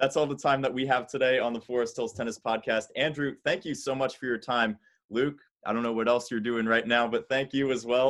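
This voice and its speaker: Here is an unremarkable speaking voice, a man at medium pitch. He goes at a fairly quick pace over a quiet background. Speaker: podcast host. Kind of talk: casual interview chat.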